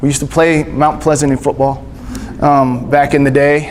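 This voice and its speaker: A fairly high-pitched man at a moderate pace, with noticeable background noise and audible room echo. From Texas, Panhandle then Gulf Coast. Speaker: missionary speaker. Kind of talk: church talk. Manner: casual, halting with fillers.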